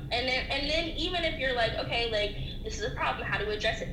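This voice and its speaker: Over noticeable background noise and audible room echo, a woman with an American accent talks at a very fast pace. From US South, Atlanta. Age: 20s. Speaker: graduate student in sports business. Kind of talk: casual interview chat.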